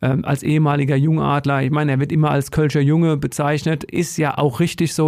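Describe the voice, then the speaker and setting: A man with an unremarkable speaking voice, fairly high in pitch and fairly quick, his intonation fairly even, in a very clean recording with a silent background. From Germany, Odenwald region. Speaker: ice hockey reporter. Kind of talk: casual chat.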